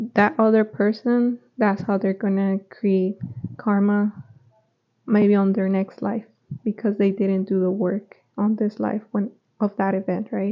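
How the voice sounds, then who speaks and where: A woman at a medium pitch and fairly slow pace, with monotone, flat intonation. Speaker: spiritual teacher. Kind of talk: casual talk to camera. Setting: home recording with microphone.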